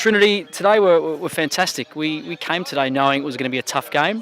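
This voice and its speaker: A man with an Australian accent speaks at a very fast pace with ordinary pitch variation while noticeable background noise plays behind. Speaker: football coach. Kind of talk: post-match interview.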